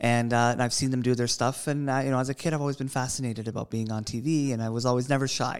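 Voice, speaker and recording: A man talks very fast with a Canadian accent, hardly pausing. His pitch sits at a medium level, and his intonation is flat and monotone. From Toronto, Canada. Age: 20s. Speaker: TV co-host. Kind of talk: casual chat.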